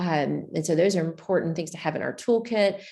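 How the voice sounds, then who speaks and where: Audible room echo surrounds a woman with an American accent whose fairly low, dark, mellow voice has lively intonation. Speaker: public health researcher. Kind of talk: conference presentation.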